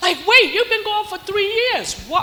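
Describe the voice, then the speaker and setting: The speaker has an animated tone, with noticeable background noise behind the voice. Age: 70s. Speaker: swing dance community elder. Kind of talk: motivational address to audience.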